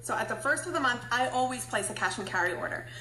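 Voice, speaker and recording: A woman speaks at a very fast pace with a fairly high pitch. Noticeable background noise and audible room echo fill the recording. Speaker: beauty product sales presenter. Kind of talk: livestream tutorial. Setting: live video stream.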